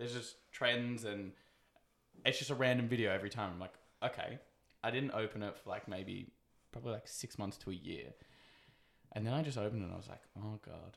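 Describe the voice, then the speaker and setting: A man with an Australian accent talks at a fairly quick pace, broken by long, frequent pauses. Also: medium pitch for a man, ordinary pitch variation. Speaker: podcast host. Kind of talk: casual chat.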